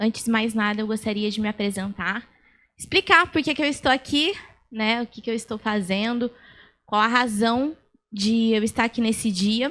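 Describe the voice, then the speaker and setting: A woman's fairly high voice at a moderate pace with ordinary pitch variation, in a very clean recording with a silent background. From Brazil, São Paulo state (Itapira). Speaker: lawyer, speaker. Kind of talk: lecture. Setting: stage with audience.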